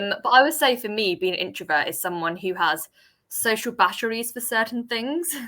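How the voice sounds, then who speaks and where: Loud and bright with a sharp tone, a woman talks at a fairly quick pace and fairly high pitch, her voice swinging very widely. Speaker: freelance marketer. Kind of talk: casual interview chat. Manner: loud, confident.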